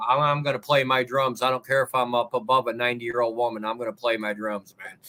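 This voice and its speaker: Over noticeable background noise, a man talks very fast at medium pitch in a monotone, flat intonation. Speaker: livestreamer and drummer. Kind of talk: casual chat. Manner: loud.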